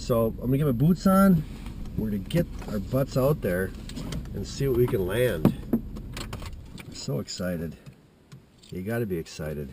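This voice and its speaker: A man's medium-pitched voice with very wide pitch swings, a fairly slow pace, long and frequent pauses, and noticeable background noise. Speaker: hunting vlogger. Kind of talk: casual vlog monologue. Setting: outdoors in the woods. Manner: halting.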